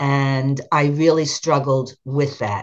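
Her intonation is fairly even. This woman's voice sits at a very deep, low pitch. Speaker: retired special education teacher. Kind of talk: interview.

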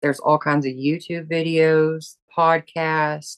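A woman with a Southern US accent speaks at a fairly slow pace in a very deep, low pitch, with a dry, close sound and no echo. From US South. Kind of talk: interview.

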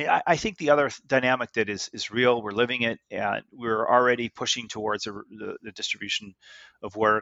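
A normal speaking voice from a man with a Canadian accent, medium pitch, fairly even intonation and a moderate pace. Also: big swings in loudness. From Canada (Goderich, Ontario). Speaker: tech executive and investor. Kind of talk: interview.

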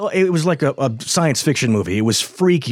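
A man talks fairly quickly with lively intonation. He has a plain, everyday voice. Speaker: radio host. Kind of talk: casual chat.

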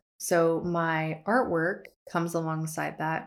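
Fairly low-pitched woman on a very clean recording with a silent background. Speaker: artist and educator, podcast host. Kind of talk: casual solo podcast monologue. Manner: warm, upbeat, animated.

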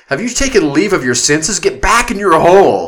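A man shouts in a put-on character voice, pitched high. He goes at a fairly quick pace with very wide pitch swings. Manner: yelling, incredulous.

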